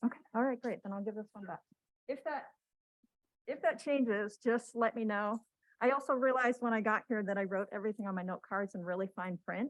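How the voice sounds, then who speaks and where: A soft-spoken woman talks at a fairly quick pace. Her voice is fairly high, with ordinary pitch variation. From Washington state, US. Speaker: cancer patient sharing her story. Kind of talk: testimony. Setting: stage with audience, microphone.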